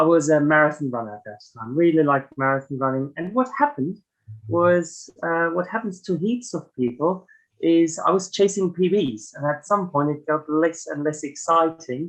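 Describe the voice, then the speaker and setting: A man with a slight German accent speaks at a moderate pace, his fairly high voice carrying lively intonation. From Germany. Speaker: ultra runner. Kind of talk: podcast interview. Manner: hesitant, many fillers.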